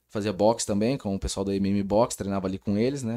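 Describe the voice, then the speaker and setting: The fairly quick speech comes through on a very clean recording with a silent background. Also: man. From Brazil, Rio Claro (São Paulo state). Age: 30s. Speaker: sports official, wheelchair athlete. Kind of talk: casual interview. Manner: animated.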